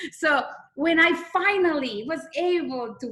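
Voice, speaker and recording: A woman with a strong non-native accent speaks in a raised, projected voice with lively intonation. Audible room echo surrounds her. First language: not English. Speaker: direct sales consultant. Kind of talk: testimony.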